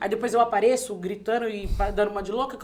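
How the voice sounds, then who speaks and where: A woman talks very fast in an animated tone, fairly high in pitch with ordinary pitch variation. Noticeable background noise runs under her voice. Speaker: podcast host. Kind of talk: casual chat. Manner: loud.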